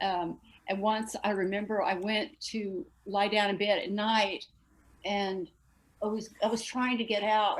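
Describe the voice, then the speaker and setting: With an American accent, a woman speaks in a plain, everyday voice at a medium pitch, her intonation fairly even. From Texas. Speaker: astral projector, discussion group member. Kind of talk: casual group discussion.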